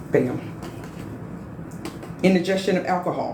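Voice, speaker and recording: Audible room echo surrounds a woman with an American accent. She talks in an animated tone at a fairly slow pace and a medium pitch. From US Midwest, Chicago. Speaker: medical assistant exam instructor. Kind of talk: live online exam review class. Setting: live stream with chat.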